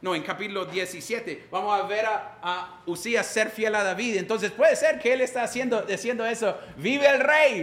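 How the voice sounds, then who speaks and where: A man's high-pitched voice with a non-native accent, moderate pace, hardly any pauses, and ordinary pitch variation, amid audible room echo and noticeable background noise. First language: English (speaking Spanish). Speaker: pastor. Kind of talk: sermon.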